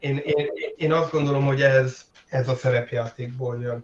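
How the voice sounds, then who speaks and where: With fairly even intonation, a man at medium pitch keeps a moderate pace. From Hungary. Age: 50s. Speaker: tabletop role-playing game designer. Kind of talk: interview. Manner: halting, many fillers.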